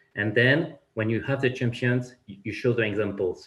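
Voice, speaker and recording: Somewhat breathy and in a French accent, a man talks at a moderate pace. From France. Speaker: finance executive. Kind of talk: panel discussion. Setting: conference panel. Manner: halting, many repetitions.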